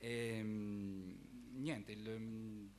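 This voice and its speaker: A man speaks at medium pitch with fairly even intonation. Audible room echo is present. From Abruzzo, Italy (Roseto degli Abruzzi). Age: 30s. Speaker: singer-songwriter contestant, metalworker. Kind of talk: stage introduction. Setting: theatre stage with audience.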